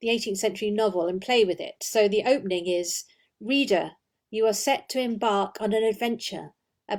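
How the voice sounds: The reading comes in a natural reading voice, its pitch varying in an ordinary way, with a quiet background.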